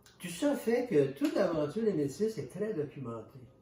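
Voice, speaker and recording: A man with a Canadian French accent and very wide pitch swings, over noticeable background noise. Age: 70s. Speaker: author and historian. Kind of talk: interview. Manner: halting, with many repetitions.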